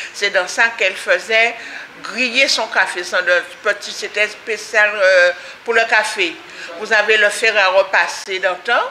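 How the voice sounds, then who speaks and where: Over light background noise, a woman with a fairly high pitch speaks very slowly with long, frequent pauses, fairly even intonation and very even loudness. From Guadeloupe. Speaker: community association member. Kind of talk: interview. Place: hall. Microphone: phone near.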